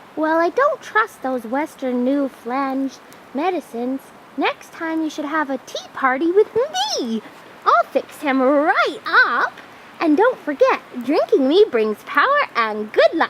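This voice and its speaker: With clear background noise behind it, a female-sounding put-on character voice speaks at a high pitch and a fairly slow pace. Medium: comedy sketch.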